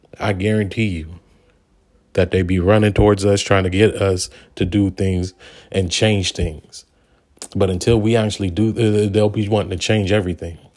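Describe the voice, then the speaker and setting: The speech comes in a monotone, flat intonation with long, frequent pauses on a very clean recording with a silent background. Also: man, fairly low pitch for a man, moderate pace. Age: 30s. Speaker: podcast host. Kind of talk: monologue commentary. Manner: halting.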